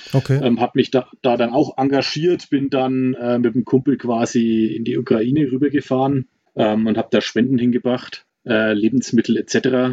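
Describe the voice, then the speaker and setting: A man speaks at a moderate pace and medium pitch with monotone, flat intonation. The sound is dry and close, with no echo. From Franconia, Germany (Nuremberg). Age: 40s. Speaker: volunteer aid driver. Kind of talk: casual interview. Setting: remote call from Mexico.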